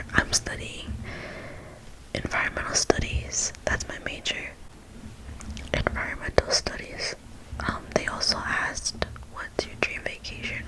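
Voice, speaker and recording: Whispering at a fairly slow pace, a woman leaves long, frequent pauses over noticeable background noise. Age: 20s. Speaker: ASMR creator. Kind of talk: whispered ASMR Q&A talk to camera. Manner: whispered, soft-spoken.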